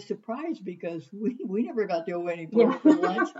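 A woman talks at a fairly quick pace and medium pitch. Noticeable background noise is present. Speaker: retired English teacher. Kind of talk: casual chat. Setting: at home.

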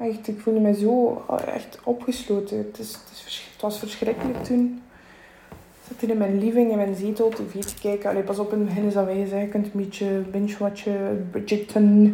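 A woman with a Flemish accent speaks at a moderate pace and medium pitch, her intonation monotone and flat, her loudness swinging widely, with noticeable background noise and audible room echo. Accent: Flemish Dutch. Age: 20s. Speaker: podcaster, self-employed butcher, stroke survivor. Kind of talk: personal testimony monologue. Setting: home kitchen at night.

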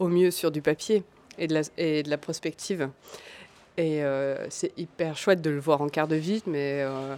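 A woman's very deep, low voice at a very slow pace, with ordinary pitch variation. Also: very clean recording, silent background. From Alsace, France (small village). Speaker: textile designer and maker. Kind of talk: interview. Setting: café. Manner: hesitant, many fillers.

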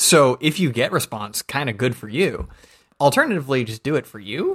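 Heard in a dry, close sound with no echo, a man with an American accent talks at a moderate pace. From US South, Georgia. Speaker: podcast host. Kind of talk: casual chat.

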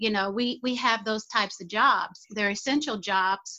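A woman talks in a normal speaking voice with an American accent. Her intonation is fairly even. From United States. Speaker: community activist. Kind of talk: interview.

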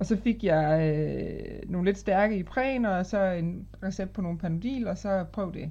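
Speaking very slowly with hardly any pauses, a woman uses a medium pitch, a dark, mellow tone and ordinary pitch variation. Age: 30s. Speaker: patient with rheumatoid arthritis, manager. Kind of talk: casual interview.

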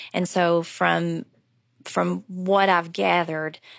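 A woman talks with an Appalachian accent. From Appalachia (southwest Virginia). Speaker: professor of Appalachian studies. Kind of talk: interview.

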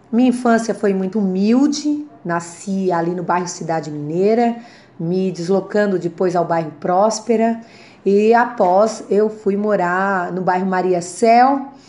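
The voice has a dark, mellow tone and ordinary pitch variation at a fairly slow pace. Room echo is audible. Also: woman. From Santa Catarina, Brazil (Criciúma). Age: 40s. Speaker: politician. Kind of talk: testimony.

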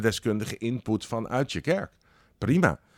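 The recording is very clean with a silent background and a dry, close sound with no echo, and the speech comes at a moderate pace. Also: man. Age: 50s. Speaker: director of a church organization. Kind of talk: interview. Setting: organization building. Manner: talkative.

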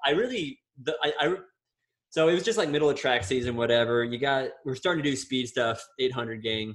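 A man with an ordinary speaking voice and an American accent, medium pitch, ordinary pitch variation, at a fairly quick pace. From Florida. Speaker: podcast co-host, professional runner. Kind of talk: casual chat.

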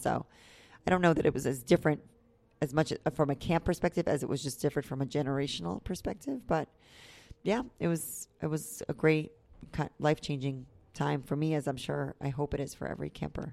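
A woman with an American accent and a very deep, low pitch, very fast pace, ordinary pitch variation and vocal fry, on a very clean recording with a silent background. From New York. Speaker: camp head counselor. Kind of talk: interview.

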